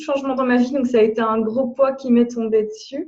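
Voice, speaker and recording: A woman with a Belgian accent speaks at a moderate pace, her dark, mellow tone showing ordinary pitch variation. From Belgium. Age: 30s. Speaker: blogger. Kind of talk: interview. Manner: halting.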